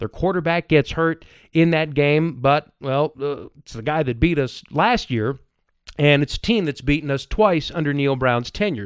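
This man has an ordinary speaking voice, fairly high in pitch, with lively intonation and a moderate pace. The recording is very clean with a silent background and a dry, close sound with no echo. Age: 30s. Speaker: sports podcast host. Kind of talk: casual chat.

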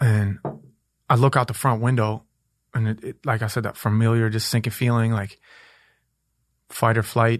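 A man with an American accent talks at a moderate pace and medium pitch, with monotone, flat intonation. Long, frequent pauses break his speech against a quiet background. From Minneapolis, US Midwest. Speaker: rapper. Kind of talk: casual chat. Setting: studio.

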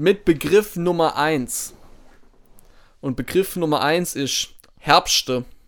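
The speech comes very slowly, with long, frequent pauses and ordinary pitch variation. It is a very clean recording with a silent background. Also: man, fairly high pitch for a man. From southern Germany, Baden. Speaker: podcast co-host. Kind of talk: casual chat.

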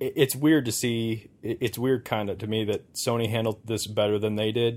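A man speaks at a moderate pace, medium in pitch, with fairly even intonation and a plain, everyday voice. The recording is very clean, with a silent background. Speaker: podcast host. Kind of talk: casual chat. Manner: joking, banter.

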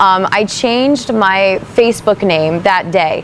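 A medium-pitched woman with an American accent and ordinary pitch variation, amid noticeable background noise. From rural New Jersey. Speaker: singer. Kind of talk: casual chat.

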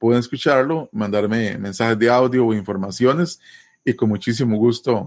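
Speech in a Costa Rican accent comes at a moderate pace with ordinary pitch variation and very even loudness against a quiet background. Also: man, medium pitch for a man. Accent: Costa Rican Spanish, dragged R. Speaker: language teacher. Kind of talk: interview. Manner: hesitant, many fillers.

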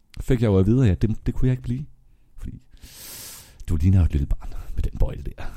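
A man talks at a very fast pace in a dark, mellow, somewhat breathy tone, his pitch fairly low. His pitch swings very widely, broken by long, frequent pauses. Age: 20s. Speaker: nightlife worker turned banker. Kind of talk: casual chat. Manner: animated; halting.

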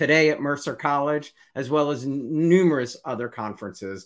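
A man with an American accent speaks in an unremarkable speaking voice, fairly high-pitched for a man, on a very clean recording with a silent background. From US, New Jersey. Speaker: interview show host. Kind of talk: interview; scripted intro. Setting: live video stream.

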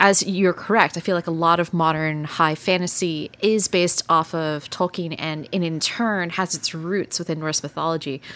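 A woman with an American accent, fairly low in pitch, at a moderate pace with ordinary pitch variation and noticeable background noise. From Texas. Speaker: podcast host. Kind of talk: casual chat.

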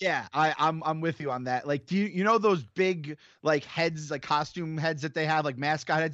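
A plain, everyday voice: a man at a moderate pace, fairly high in pitch, with ordinary pitch variation. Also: hardly any pauses. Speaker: podcast co-host. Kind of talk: casual chat.

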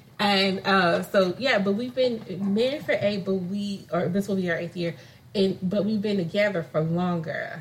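With an American accent, a woman talks at a moderate pace and medium pitch with ordinary pitch variation, and noticeable background noise can be heard. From California. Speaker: podcast co-host. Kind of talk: casual chat.

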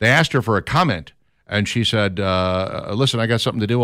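A man with an American accent and an unremarkable speaking voice talks fairly quickly at a fairly low pitch with lively intonation, in a very clean recording with a silent background. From Minnesota, Minneapolis. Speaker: radio talk show host. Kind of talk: talk radio chat.

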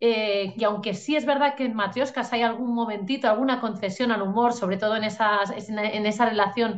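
A woman's voice with ordinary pitch variation. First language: Catalan (speaking Spanish). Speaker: novelist. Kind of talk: interview. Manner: hesitant, many fillers.

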